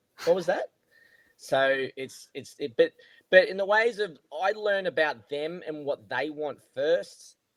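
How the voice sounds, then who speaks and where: Pitched high for a man, this speaker talks with an Australian accent at a fairly slow pace, with ordinary pitch variation, big swings in loudness, and a dry, close sound with no echo. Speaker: golf coach. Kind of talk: casual chat.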